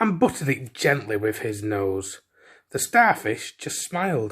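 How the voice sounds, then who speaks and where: A man with a Yorkshire accent talks at a fairly slow pace with very wide pitch swings, on a very clean recording with a silent background. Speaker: storyteller. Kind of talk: children's bedtime story reading.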